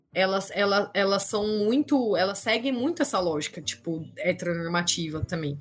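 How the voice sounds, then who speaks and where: A woman with a normal speaking voice, medium pitch, lively intonation, a moderate pace and hardly any pauses. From Campinas, interior of São Paulo state, Brazil. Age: 30s. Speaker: history teacher. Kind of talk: casual interview.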